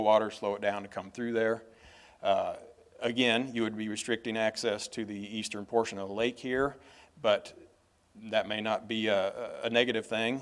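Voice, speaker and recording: A man speaks at medium pitch in a monotone, flat intonation on a very clean recording with a silent background. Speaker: engineering consultant. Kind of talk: presentation to city council. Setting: council meeting. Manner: fast.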